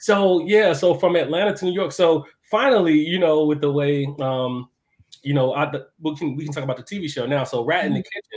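Spoken fairly quickly with an American accent, this is an ordinary speaking voice with ordinary pitch variation. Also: man, fairly high pitch for a man. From Chicago West Side, US. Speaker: chef and architect. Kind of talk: casual podcast interview. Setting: live video stream.

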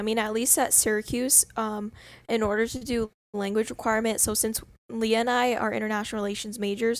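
On a very clean recording with a silent background, a woman with a fairly high pitch talks at a fairly quick pace in a monotone, flat delivery. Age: 20s. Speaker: student podcast co-host. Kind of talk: casual chat.

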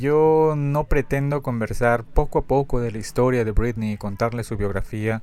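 The voice belongs to a man with a medium pitch. He keeps a moderate pace and ordinary pitch variation. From Peru. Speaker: podcast host, fan collector. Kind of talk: casual solo podcast monologue. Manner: halting, with frequent fillers and repetitions.

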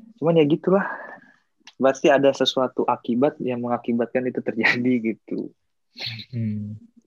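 The sound is dry and close, with no echo, as a man speaks at a medium pitch and a moderate pace. His pitch variation is ordinary, and he takes long, frequent pauses. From Indonesia. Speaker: Indonesian student abroad. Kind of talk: casual chat.

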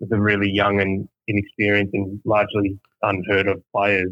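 A man speaks with an Australian accent at a fairly low pitch. His intonation is monotone and flat. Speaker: baseball fan guest. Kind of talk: casual interview chat. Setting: phone call.

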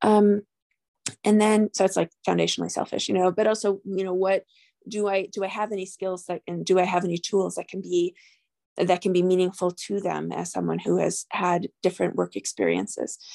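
With an American accent, a woman talks at a fairly quick pace in a dry, close sound with no echo. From New York. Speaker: physician. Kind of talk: interview.

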